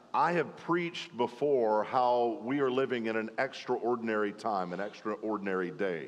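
A man with a Southern US accent at a moderate pace and medium pitch, ordinary pitch variation and hardly any pauses. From Arkansas, US South. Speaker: preacher. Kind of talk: sermon.

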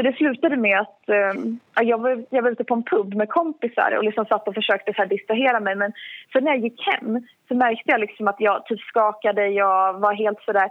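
With ordinary pitch variation, an ordinary speaking voice talks at a fairly quick pace. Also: woman, fairly high pitch for a woman. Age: 20s. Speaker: mental health speaker. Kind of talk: interview. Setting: phone call.

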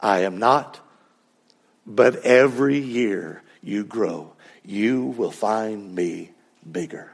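Putting on a character voice, a man speaks at a very slow pace with long, frequent pauses. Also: medium pitch for a man. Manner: gentle, wise.

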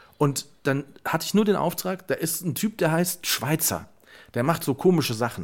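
Vocal fry runs through speech at a moderate pace with ordinary pitch variation, in a very clean recording with a silent background. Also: man, fairly high pitch for a man. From Germany, Westerwald. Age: 30s. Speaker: podcast co-host. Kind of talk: casual chat.

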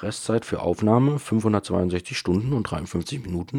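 This man's voice sits fairly low in pitch, with a dark, mellow tone and ordinary pitch variation. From Bavaria, Munich area. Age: 20s. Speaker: podcaster and YouTuber. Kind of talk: casual solo podcast monologue. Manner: casual, with many fillers.

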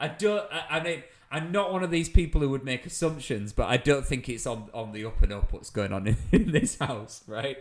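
This man speaks at medium pitch and a moderate pace, with ordinary pitch variation.

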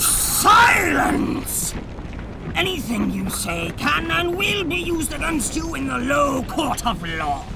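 Over loud background noise, a man shouts in a put-on character voice at a fairly slow pace. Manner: barking, officious.

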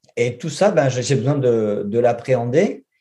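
A man's somewhat breathy, dark, mellow voice, fairly high in pitch, with lively intonation at a fairly slow pace against a quiet background. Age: 40s. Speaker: junior web developer. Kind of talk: interview. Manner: halting.

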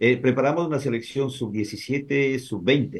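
A man with a medium pitch talks in a somewhat breathy way, his intonation lively. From Ecuador, Santo Domingo de los Tsáchilas (born in Azuay). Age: 50s. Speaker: sports journalist. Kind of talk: casual chat.

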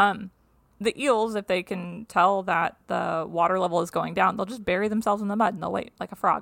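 Recorded very cleanly with a silent background, a woman with an ordinary speaking voice talks at a fairly quick pace, her medium pitch kept in fairly even intonation. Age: 30s. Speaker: science podcast host. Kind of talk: casual chat.

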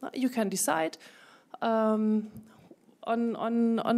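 A woman with a German accent speaks at a fairly high pitch and a very slow pace. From Germany. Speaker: founder of a women political leaders network, former parliamentarian. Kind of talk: panel debate.

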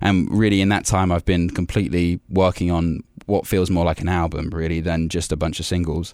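A man with an English Midlands accent speaks at a fairly quick pace in a very deep, low voice, keeping very even loudness and fairly even intonation in a very clean recording with a silent background. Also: hardly any pauses. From England, Warwickshire. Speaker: singer-songwriter. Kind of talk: interview. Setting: studio.

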